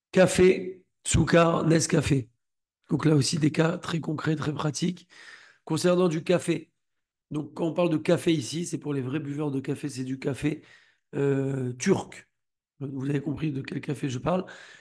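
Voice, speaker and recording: A somewhat breathy voice with fairly even intonation and long, frequent pauses against a quiet background. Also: man, fairly high pitch for a man. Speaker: Torah teacher. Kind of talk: lecture. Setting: video call. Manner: soft-spoken.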